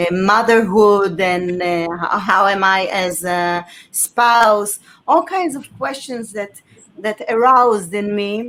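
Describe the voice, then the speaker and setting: Speaking very slowly, a woman with an Israeli accent has a medium pitch. Her pitch variation is ordinary. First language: Hebrew. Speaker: author and former journalist. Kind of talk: interview on live stream. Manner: halting.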